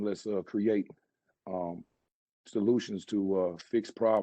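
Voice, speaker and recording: A man with a Southern US accent, fairly low in pitch, at a moderate pace with monotone, flat intonation and long, frequent pauses. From Charlotte, North Carolina, US South. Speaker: mayoral candidate, salon owner. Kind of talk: campaign speech. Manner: halting, many fillers.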